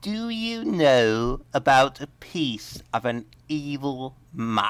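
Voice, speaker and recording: In a put-on character voice, the speaker sounds nasal at a low-to-middle pitch, talking at a very slow pace over a very clean recording with a silent background. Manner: weird, mocking.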